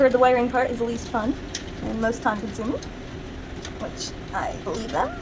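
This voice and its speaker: A soft-spoken woman with a high pitch mumbles through long, frequent pauses, with audible room echo and noticeable background noise. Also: ordinary pitch variation, fairly quick pace. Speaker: content creator. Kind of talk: tutorial. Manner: mumbling.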